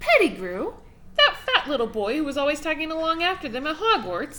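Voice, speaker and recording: A squeaky, put-on character voice with very wide pitch swings, at a fairly quick pace, over clear background noise. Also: woman, high pitch for a woman. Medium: read story.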